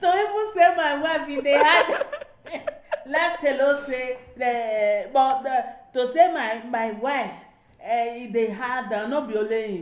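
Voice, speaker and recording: A woman's high-pitched voice with lively intonation at a very slow pace. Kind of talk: casual podcast conversation.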